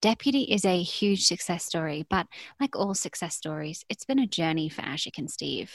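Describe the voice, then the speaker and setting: A woman's fairly low voice with an English accent and lively intonation, in a dry, close sound with no echo. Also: moderate pace, very clean recording, silent background. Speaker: podcast host, venture capital. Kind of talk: scripted narration.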